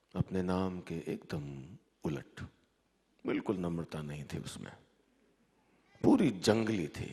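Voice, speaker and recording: A man speaks in a very deep, low voice with ordinary pitch variation. His loudness swings widely, and he takes long, frequent pauses. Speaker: storyteller. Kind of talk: live story reading. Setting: live stage, festival audience.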